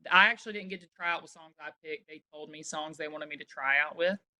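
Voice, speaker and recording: A woman with a Southern US accent, fairly low in pitch, bright and sharp in tone, with fairly even intonation and a dry, close sound free of echo. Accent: Southern American. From Alabama, USA. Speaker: singer-songwriter. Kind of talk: interview answer. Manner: casual, chatty.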